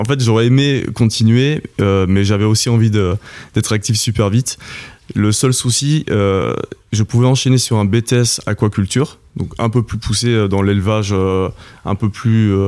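A man with a fairly low voice speaks at a very slow pace. His intonation stays fairly even. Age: 20s. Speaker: oyster farmer. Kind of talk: interview. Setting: at his home. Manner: hesitant, many fillers.

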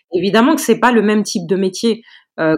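The recording is very clean, with a silent background. A normal speaking voice carries lively intonation. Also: woman. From Paris region, France. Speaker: lawyer. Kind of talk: interview.

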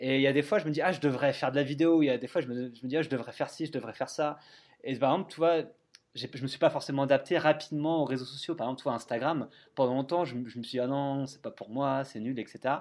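In a very clean recording with a silent background, a man with a fairly high pitch talks at a very fast pace. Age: 30s. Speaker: travel blogger and author. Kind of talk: interview. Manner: halting, many fillers and repetitions.

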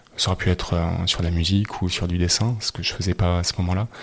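This voice moves at a fairly quick pace with monotone, flat intonation. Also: man. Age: 40s. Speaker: cabinetmaker and former business executive. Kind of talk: interview testimony. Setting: at his home.

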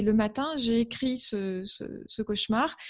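A woman speaks over a quiet background. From northern France, Amiens (Picardy). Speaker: author and graphic designer. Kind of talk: interview. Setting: video call. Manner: hesitant, with fillers and repetitions.

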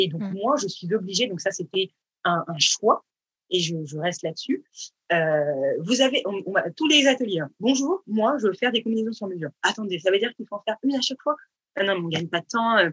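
Very wide pitch swings mark a woman's medium-pitched voice at a fairly quick pace, heard in a dry, close sound with no echo. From Paris region, France. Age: 30s. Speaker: fashion designer, brand founder. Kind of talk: casual interview. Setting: remote online recording.

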